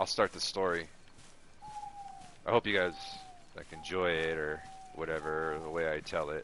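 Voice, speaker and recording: A man speaks quietly in a very deep, low pitch with monotone, flat intonation. Long, frequent pauses break his speech over noticeable background noise. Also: moderate pace. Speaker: gaming streamer. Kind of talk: casual live-stream chat and storytelling. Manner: quiet, low-key; casual, hesitant with fillers.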